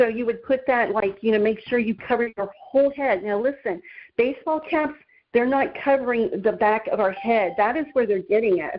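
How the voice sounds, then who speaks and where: An unremarkable speaking voice with ordinary pitch variation. It moves at a moderate pace. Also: woman, fairly high pitch for a woman. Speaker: guest speaker giving shielding tips. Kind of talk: informal talk.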